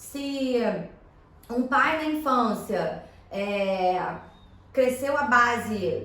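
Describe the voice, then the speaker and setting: Lively intonation amid noticeable background noise and audible room echo. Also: woman. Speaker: energy therapist. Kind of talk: podcast interview. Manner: talkative, filler-heavy.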